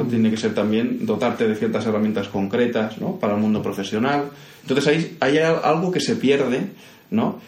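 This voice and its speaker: Medium-pitched man with a slight Andalusian accent, fairly quick, with ordinary pitch variation and audible room echo. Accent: slight Andalusian lilt in Spanish. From Catalonia, Castelldefels, of Andalusian family. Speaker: architect and university professor. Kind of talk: interview conversation.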